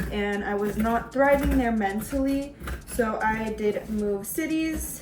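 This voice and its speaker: In a Californian accent, a woman speaks very slowly at a fairly high pitch with ordinary variation. Audible room echo and noticeable background noise fill the recording. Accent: Californian American English. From US West Coast, San Francisco Bay Area. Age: 20s. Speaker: vlogger and psychology student. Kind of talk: casual vlog chat. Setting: home kitchen while cooking.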